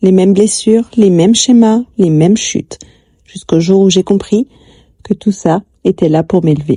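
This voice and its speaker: A woman's medium-pitched, somewhat breathy voice with a dark, mellow tone, very even loudness, ordinary pitch variation, a moderate pace broken by long, frequent pauses, and a dry, close sound with no echo. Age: 40s. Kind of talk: confessional personal life story narration.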